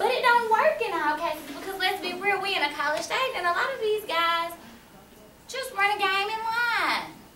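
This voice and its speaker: Raised and projected, a woman's bright, sharp voice with an American accent sits at an extremely high pitch and a moderate pace, with light background noise and audible room echo. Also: lively intonation. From US South. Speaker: college student; panelist. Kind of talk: panel discussion. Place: classroom. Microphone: camera far.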